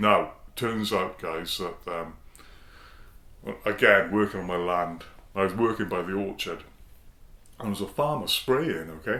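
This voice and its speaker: With audible room echo, a man talks at a fairly slow pace in a bright, sharp tone, fairly low in pitch with ordinary pitch variation and long, frequent pauses. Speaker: singing bowl shop owner and video host. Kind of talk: casual vlog talk to camera. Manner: loud; hesitant, repeating words.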